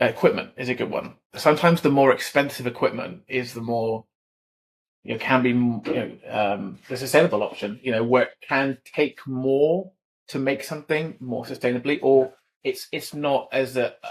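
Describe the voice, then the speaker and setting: A man with a southern English accent talks at a moderate pace, his pitch rising and falling in an ordinary way. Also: medium pitch for a man. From southern England. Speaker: equipment industry specialist. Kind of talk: podcast interview. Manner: hesitant, many fillers and repeats.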